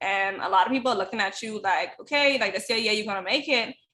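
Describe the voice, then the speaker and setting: Bright and sharp in tone, a woman speaks with a Bahamian accent and lively intonation. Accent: Bahamian island. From Bahamas (Eleuthera). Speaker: track athlete and life coach. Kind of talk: casual interview chat.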